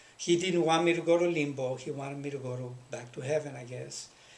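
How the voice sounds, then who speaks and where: Speaking in a plain, everyday voice, a man with an American accent keeps a moderate pace, a fairly high pitch and fairly even intonation. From Los Angeles. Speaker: history professor. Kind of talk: interview answer.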